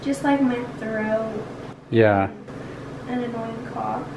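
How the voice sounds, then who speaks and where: A woman speaks at a very slow pace over noticeable background noise. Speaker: vlogger. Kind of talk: casual vlog chat. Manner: weak, ill voice with sore throat. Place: home room. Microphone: phone near.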